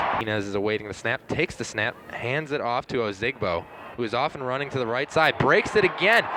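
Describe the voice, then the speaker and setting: Against noticeable background noise, a man talks at a very fast pace with medium pitch and lively intonation. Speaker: sports broadcaster. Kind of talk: live play-by-play game call.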